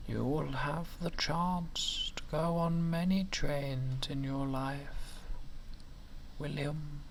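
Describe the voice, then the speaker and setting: A man puts on a character voice, fairly high in pitch and very slow in pace. Clear background noise can be heard behind him. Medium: read story. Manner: gentle, warm.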